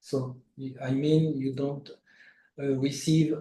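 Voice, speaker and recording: Somewhat breathy and dark, mellow in tone, this voice speaks in a flat monotone with a French accent. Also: man. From France. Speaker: international tax lawyer. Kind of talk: interview. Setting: livestream. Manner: halting, many fillers.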